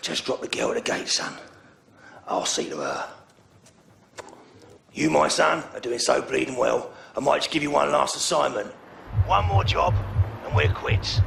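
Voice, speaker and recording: In a put-on, raspy character voice, a man speaks at a moderate pace with long, frequent pauses. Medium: short film. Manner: smug, taunting.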